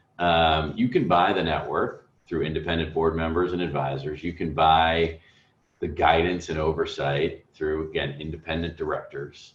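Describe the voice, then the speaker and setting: A man speaks at a moderate pace. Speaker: venture capital investor. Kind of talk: interview. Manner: measured, thoughtful.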